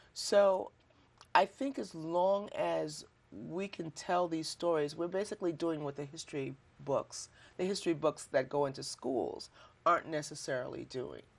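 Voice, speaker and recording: A woman with a normal speaking voice, fairly low in pitch, lively intonation and a moderate pace. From Chicago, US Midwest. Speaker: poet. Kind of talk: interview.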